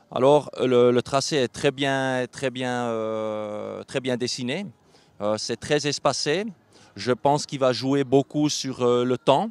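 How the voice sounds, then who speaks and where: A man at a very slow pace, with ordinary pitch variation and a dry sound with no echo. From Switzerland. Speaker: show jumping rider; interviewee. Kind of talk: interview. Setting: at a live horse show event. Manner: halting. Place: stadium. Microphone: handheld.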